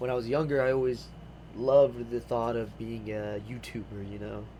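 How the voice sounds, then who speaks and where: A man talks at a moderate speed. His voice carries audible echo from the room. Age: 18. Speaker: vlogger. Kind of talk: personal vlog monologue. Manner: hesitant, filler-heavy.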